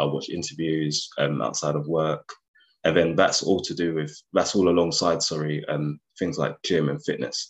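With a London accent, a man speaks at a moderate pace. His pitch is very deep and low. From North London, Enfield. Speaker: investment banker. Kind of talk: interview.

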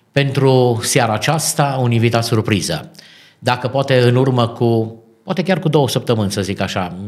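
This is a normal speaking voice from a man, pitched at a medium level. He moves at a moderate pace and varies his pitch in an ordinary way. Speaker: radio host and pastor. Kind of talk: interview. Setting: studio. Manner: formal.

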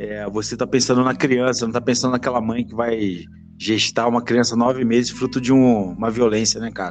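This man talks in a Brazilian accent with a monotone, flat intonation. Music plays in the background. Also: medium pitch for a man, moderate pace. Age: 40s. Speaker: podcast host. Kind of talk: casual podcast debate. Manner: informal, chatty, joking.

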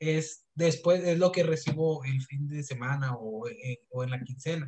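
With an unremarkable speaking voice, a man talks at a moderate pace and ordinary pitch variation. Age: 20s. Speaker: podcast host. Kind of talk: casual chat.

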